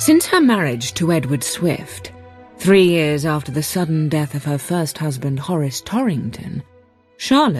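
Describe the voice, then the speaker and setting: A woman's very deep, low voice at moderate pace, with very wide pitch swings and music in the background. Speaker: audiobook narrator. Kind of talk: radio book reading.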